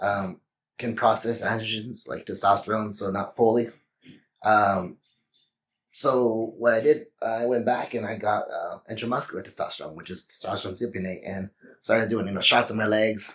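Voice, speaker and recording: In a Texan accent, a man talks at a moderate pace with medium pitch and fairly even intonation. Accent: Texan American English. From Texas. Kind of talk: interview. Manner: hesitant, many fillers.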